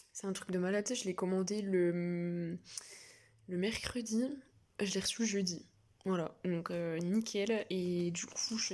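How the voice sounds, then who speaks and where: Very slow speech from a woman, medium in pitch. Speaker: book vlogger. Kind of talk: casual vlog. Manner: hesitant, many fillers; soft-spoken.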